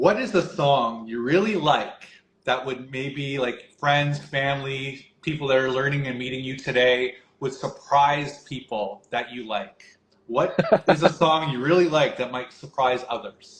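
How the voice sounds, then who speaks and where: A man's somewhat breathy voice, fairly high in pitch, with ordinary pitch variation and a fairly slow pace. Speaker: community interviewer. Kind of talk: interview questions.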